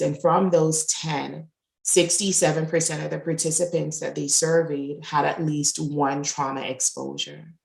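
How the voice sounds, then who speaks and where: In a Jamaican accent, a woman with a very deep, low pitch speaks at a fairly slow pace with vocal fry and monotone, flat intonation, on a very clean recording with a silent background. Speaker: resilience and diversity coach. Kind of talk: interview conversation. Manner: loud.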